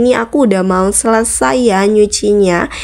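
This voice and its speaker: At a moderate speed, a woman talks with a fairly high pitch. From Bondowoso, East Java, Indonesia (Madurese area). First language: Madurese (speaking Indonesian). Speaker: vlogger. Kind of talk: casual vlog talk to viewers. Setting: outdoors washing area, doing laundry. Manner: casual, chatty.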